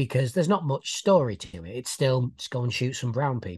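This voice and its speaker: Someone speaks at a fairly quick pace with a British accent over a quiet background. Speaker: podcast co-host. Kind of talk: casual chat.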